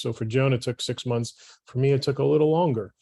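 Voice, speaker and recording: A man with a medium-pitched, somewhat breathy voice talks at a fairly quick pace with ordinary pitch variation, recorded very cleanly against a silent background. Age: 50s. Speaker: patient. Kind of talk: testimony.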